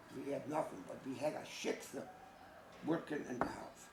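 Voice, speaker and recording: Against noticeable background noise, a man talks at a fairly high pitch and a moderate pace. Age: 70s. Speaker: Holocaust survivor. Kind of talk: testimony. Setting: school audience.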